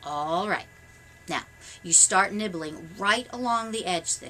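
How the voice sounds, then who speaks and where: A female-sounding voice uses a put-on character voice at a middle pitch and a fairly slow pace, with clear background noise. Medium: read story. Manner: nervous, bossy.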